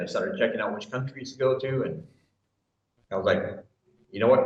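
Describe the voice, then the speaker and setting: Talking at a very fast pace with a Michigan accent, a man is heard with audible room echo. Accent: Michigan American. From US Midwest, Michigan. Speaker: expat YouTuber, English teacher, military veteran. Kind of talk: interview.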